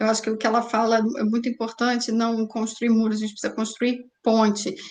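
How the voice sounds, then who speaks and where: In a flat monotone, a woman speaks with a fairly high pitch. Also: fairly quick pace. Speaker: web series host. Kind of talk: panel discussion.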